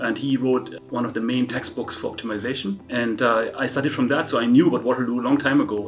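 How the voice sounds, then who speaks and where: Over noticeable background noise, a man with a German accent talks at a very fast pace, with a medium pitch and ordinary pitch variation. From northern Germany, near Hanover. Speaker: university dean and professor. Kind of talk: interview. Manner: hesitant, with many fillers and repetitions.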